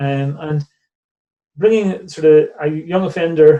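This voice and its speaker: A man speaks with a Northern Irish accent and a fairly high pitch. His tone is dark and mellow. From Northern Ireland, near Belfast. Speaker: charity director. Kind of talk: interview conversation. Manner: hesitant, with many repeated words.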